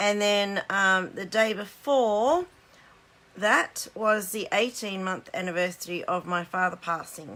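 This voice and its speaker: A woman speaks with an Australian accent at a fairly slow pace. Her pitch is medium, with ordinary variation. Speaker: card-making demonstrator. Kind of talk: live stream craft demo. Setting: Facebook live stream.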